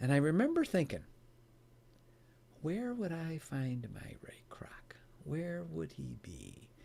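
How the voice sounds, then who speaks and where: With an American accent, a man speaks at a very slow pace, pausing long and often as his loudness swings widely. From US Midwest, Chicago area. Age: 60s. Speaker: author and founder on giving. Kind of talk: podcast interview storytelling.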